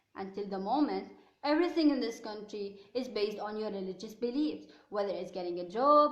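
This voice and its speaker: Over noticeable background noise and audible room echo, a woman with an Arabic accent talks at a fairly quick pace with lively intonation. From Lebanon. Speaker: contributor. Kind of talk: scripted narration.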